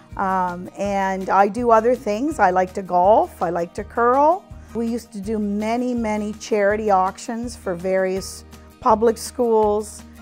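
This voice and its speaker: The speech moves at a fairly slow pace with ordinary pitch variation, and music plays in the background. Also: woman, medium pitch for a woman. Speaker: auctioneer and company founder. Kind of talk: interview answer.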